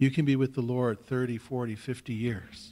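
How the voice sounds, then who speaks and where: A man speaks at a very slow pace with a Canadian accent. His voice is somewhat breathy. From Saskatchewan, Canada. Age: 50s. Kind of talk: personal testimony talk; conference talk, personal testimony. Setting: stage with audience. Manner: conversational, hesitant with fillers. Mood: earnest, exhorting. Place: hall. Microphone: podium.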